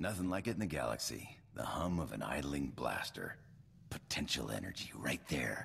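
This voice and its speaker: Putting on a character voice, a man drawls at a moderate pace in a very deep, low register. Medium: video game. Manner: casual, drawling, tags lines with "huh?".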